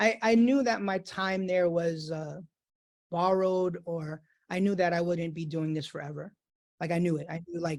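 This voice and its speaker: Fairly even intonation carries this voice in a New York accent. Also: man. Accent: New York American. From New York City, US. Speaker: DJ. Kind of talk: casual interview chat.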